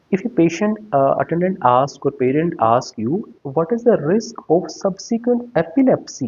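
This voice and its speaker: A man in an Indian accent speaks with a high pitch that swings very widely. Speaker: pediatrician and exam-prep teacher. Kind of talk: lecture. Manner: fast; hesitant, frequent uh fillers.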